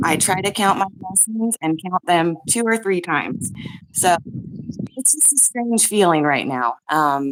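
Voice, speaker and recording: The pace is fairly slow. The voice moves in very wide pitch swings. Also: woman, medium pitch for a woman. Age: 40s. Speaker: caller. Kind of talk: emotional testimony. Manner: halting. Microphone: too quiet.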